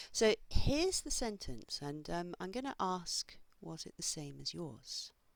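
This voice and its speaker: Speaking at a fairly slow pace, a woman's voice swings widely in loudness. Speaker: English teacher. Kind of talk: tutorial.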